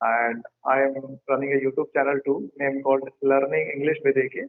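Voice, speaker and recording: In an Indian accent, a man speaks at a fairly high pitch and a moderate pace. His intonation is monotone and flat. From northern India, Uttar Pradesh. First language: Hindi. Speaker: English teacher and YouTuber. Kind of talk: casual chat.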